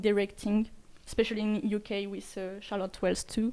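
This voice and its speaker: Speaking in a French accent, a woman has a dark, mellow tone and a fairly high pitch. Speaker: interviewer. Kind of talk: interview. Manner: halting.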